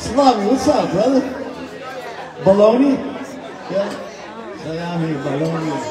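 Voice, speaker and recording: A man at a moderate pace, with crowd noise behind him. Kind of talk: stage banter with audience. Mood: jokey, friendly. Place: bar.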